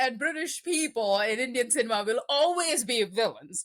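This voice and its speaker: A woman speaks with a high pitch. Her voice moves in very wide pitch swings. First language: Telugu. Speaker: film podcast guest. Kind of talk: casual chat.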